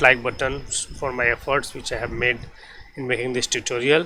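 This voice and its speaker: Through noticeable background noise, a man with a non-native accent speaks with monotone, flat intonation. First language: not English. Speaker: 3D visualization tutor. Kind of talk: software tutorial. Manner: halting.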